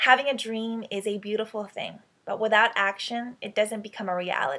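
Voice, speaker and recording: A woman with an American accent, her pitch fairly high, at a moderate pace. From United States (immigrated from the Philippines at about 10). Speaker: web series host and motivational speaker. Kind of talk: motivational address to camera. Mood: warm, upbeat, encouraging. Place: home room. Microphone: webcam.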